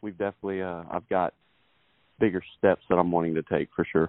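A man speaks with a Texan accent. His pace is fairly quick. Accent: Texas Southern. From Texas, Beaumont. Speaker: country singer-songwriter. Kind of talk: interview.

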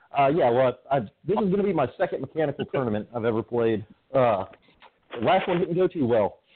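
A man's fairly high voice with very wide pitch swings. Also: fairly quick pace. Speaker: paintball player. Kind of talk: casual chat. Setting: phone call. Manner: halting, many fillers.

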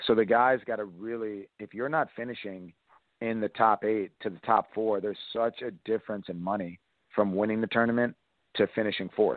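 This man has an unremarkable speaking voice with an American accent. He talks at a moderate pace in a fairly low pitch with fairly even intonation. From Massachusetts. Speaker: volleyball coach. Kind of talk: interview.

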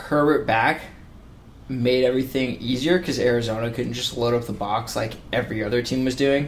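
This man has a normal speaking voice. He talks at a moderate pace with a medium pitch. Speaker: sports podcast host. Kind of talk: casual sports podcast chat.

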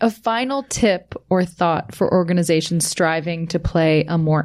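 A woman talks at a moderate pace in a fairly low pitch. She has an unremarkable speaking voice. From Canada. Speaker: podcast host, marketing executive. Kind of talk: scripted narration; casual chat.

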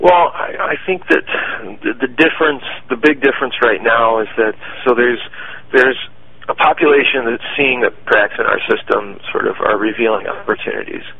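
Noticeable background noise accompanies a man who talks at a moderate pace in an American accent. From Michigan, US. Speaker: founder of a city media brand. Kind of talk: interview.

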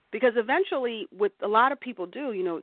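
A woman speaks with an American accent at a very fast pace. Her pitch swings very widely. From New Jersey, US. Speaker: author. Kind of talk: radio interview. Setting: internet radio show.

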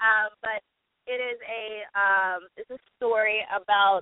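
A woman with an American accent speaks in a fairly even intonation. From Texas. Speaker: actress and producer. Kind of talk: radio interview by phone. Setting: phone call.

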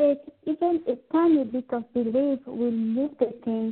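A woman with a high pitch talks fairly slowly with fairly even intonation. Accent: French. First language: French. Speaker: spiritual healer and pharmacist. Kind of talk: interview about spiritual healing. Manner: halting, with fillers.

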